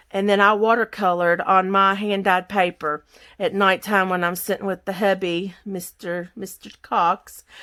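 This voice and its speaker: Speaking with a Southern US accent, a woman of medium pitch has a bright, sharp tone and a fairly slow pace. The recording is very clean, with a silent background. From Kentucky, US South. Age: 50s. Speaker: crafter. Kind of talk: craft tutorial chat. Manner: casual, chatty.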